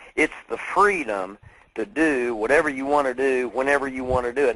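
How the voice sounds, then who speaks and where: A medium-pitched male voice over noticeable background noise. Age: 50s. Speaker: network marketing trainer and author. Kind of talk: webinar talk. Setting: webinar call. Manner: animated.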